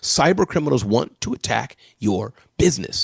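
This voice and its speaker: Recorded dry and close with no echo, a man with vocal fry sounds animated as his pitch swings very widely. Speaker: entrepreneur and keynote speaker. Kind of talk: interview. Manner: fast.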